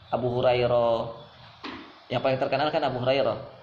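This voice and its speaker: There is audible room echo around this man as he talks. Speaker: Islamic preacher. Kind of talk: religious lecture.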